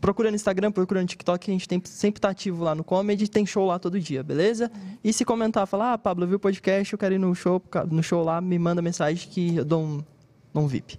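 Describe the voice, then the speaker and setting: A man's high pitch and fairly even intonation at a fairly quick pace, in a dry, close sound with no echo. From Brazil. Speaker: comedian. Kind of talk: casual chat.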